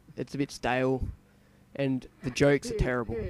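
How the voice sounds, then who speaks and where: The speech moves at a moderate pace, with a fairly even intonation. It comes in an Australian accent. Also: man. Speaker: gaming video creator. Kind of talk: let's play commentary. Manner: hesitant, many fillers.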